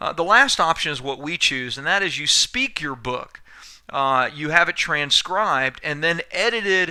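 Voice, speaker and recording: A man's bright, sharp voice, fairly high in pitch, with lively intonation on a very clean recording with a silent background. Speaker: business coach and author. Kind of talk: sales pitch.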